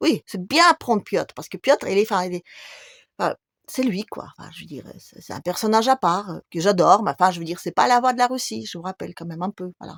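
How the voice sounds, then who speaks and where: A woman's medium-pitched voice with lively intonation and big swings in loudness, dry and close with no echo, on a very clean recording with a silent background. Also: fairly quick pace. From Russia. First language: Russian (speaking French). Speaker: YouTuber. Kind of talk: video monologue.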